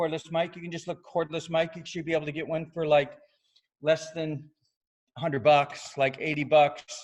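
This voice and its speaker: Pitched fairly high, a man is speaking. His loudness swings widely. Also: moderate pace. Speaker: yoga studio owner. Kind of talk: webinar presentation. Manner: casual, animated.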